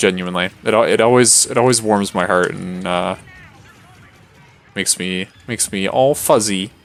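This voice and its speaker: Music plays behind a man whose fairly low voice moves at a fairly quick pace with fairly even intonation. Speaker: video game streamer. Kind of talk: live gameplay commentary. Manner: monotone.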